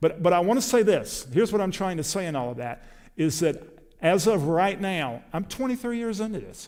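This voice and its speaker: Speaking with an American accent, a man uses lively intonation, a high pitch and a fairly quick pace. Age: 60s. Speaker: preacher. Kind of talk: sermon.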